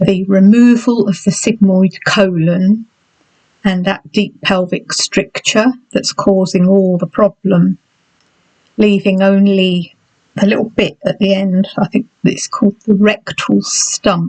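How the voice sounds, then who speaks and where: A woman with an English accent speaks at a very slow pace, somewhat breathy, with fairly even intonation and very even loudness. The sound is dry and close, with no echo. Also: medium pitch for a woman. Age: 60s. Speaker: health vlogger. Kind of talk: personal vlog. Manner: halting.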